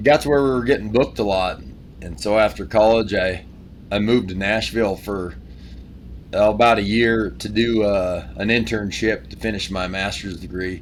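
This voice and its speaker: Moderate in pace, a man with a slight Appalachian accent talks at a fairly low pitch with lively intonation. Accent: Appalachian-sounding country accent, slight. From Wyoming. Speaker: country singer-songwriter. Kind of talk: casual interview chat.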